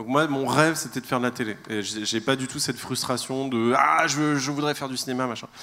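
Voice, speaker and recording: Noticeable background noise sits under the voice. Delivery is fairly quick, and the intonation stays fairly even. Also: man, medium pitch for a man. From Gabon. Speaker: comedian and video maker. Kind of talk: live podcast conversation on stage. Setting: stage with audience.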